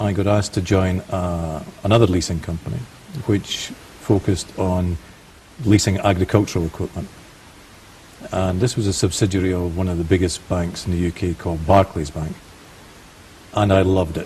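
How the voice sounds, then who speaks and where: Over noticeable background noise, a man with a Scottish accent speaks at a moderate pace in a very deep, low pitch, his intonation fairly even and his speech marked by long, frequent pauses. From Scotland. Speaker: finance and leasing specialist. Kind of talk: interview.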